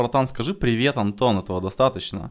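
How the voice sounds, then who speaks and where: A man talking very fast with lively intonation, in a very clean recording with a silent background. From Russia, Novosibirsk. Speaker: sales company founder. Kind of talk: casual chat. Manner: animated.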